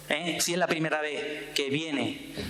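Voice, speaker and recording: Over noticeable background noise and audible room echo, a man with an Andalusian accent speaks at a fairly high pitch. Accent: Andalusian, strong seseo. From Andalusia, Sanlúcar de Barrameda (Cádiz). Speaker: myrmecologist, scientist. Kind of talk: public talk. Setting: stage with audience. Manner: animated.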